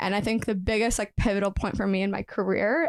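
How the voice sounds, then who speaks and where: A woman uses a normal speaking voice with ordinary pitch variation on a very clean recording with a silent background and a dry, close sound with no echo. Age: 20s. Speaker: professional dancer and nutritionist. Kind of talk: podcast interview.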